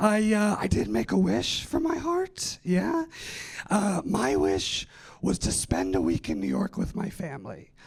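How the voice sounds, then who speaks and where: There is noticeable background noise as a man with an American accent talks at a fairly slow pace. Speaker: stand-up comedian. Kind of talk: stand-up. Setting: stage with audience.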